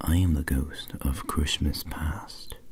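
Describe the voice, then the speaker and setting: In a put-on character voice, a man speaks in a whisper. His delivery is fairly slow. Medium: read story. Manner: gentle, calm.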